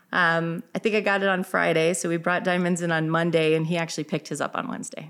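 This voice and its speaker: With an American accent, a woman talks at a very fast pace with hardly any pauses and a fairly low pitch. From Illinois. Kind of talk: interview. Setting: in her store.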